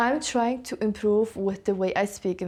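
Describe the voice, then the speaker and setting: A woman speaks with a non-native accent. Her pace is moderate and her intonation fairly even. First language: not English. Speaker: lifestyle vlogger. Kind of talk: casual vlog talk to camera. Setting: sitting in a home corner.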